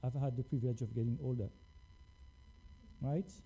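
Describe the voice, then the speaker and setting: A man talks at a very fast pace. His tone is dark and mellow, somewhat breathy. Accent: French. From France. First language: French. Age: 40s. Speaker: scientist. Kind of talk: lecture.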